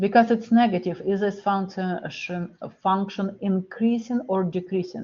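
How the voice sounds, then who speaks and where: Speaking with a non-native accent, a woman at medium pitch keeps a moderate pace and fairly even intonation in a somewhat breathy voice. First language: not English. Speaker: math lecturer. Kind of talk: lecture.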